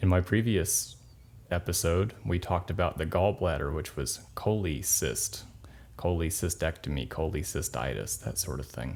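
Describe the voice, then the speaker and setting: With a very deep, low pitch and vocal fry, a man talks at a moderate pace with lively intonation. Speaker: nursing instructor and podcast host. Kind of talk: sleep-aid educational podcast narration.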